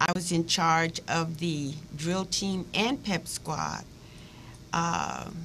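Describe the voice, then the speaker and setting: A woman at fairly low pitch with vocal fry, a very slow pace and fairly even intonation. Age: 70s. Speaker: retired physical education teacher. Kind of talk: interview. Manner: halting.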